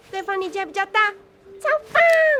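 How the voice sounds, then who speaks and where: A cartoonish character voice squeaks at an extremely high pitch. It runs at a very fast pace. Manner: excitable.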